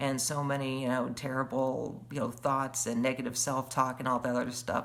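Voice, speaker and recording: A woman with a very deep, low pitch speaks in fairly even intonation. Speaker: webcast host. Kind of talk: casual livestream monologue. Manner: halting, many fillers.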